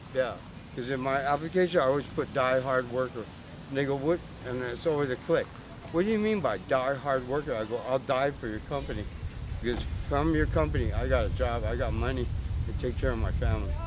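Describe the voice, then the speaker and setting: There is noticeable background noise as a man talks with a Southern California accent. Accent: Southern Californian American English. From Southern California, Imperial Beach. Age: 60s. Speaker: homeless man. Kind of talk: street interview. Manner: animated.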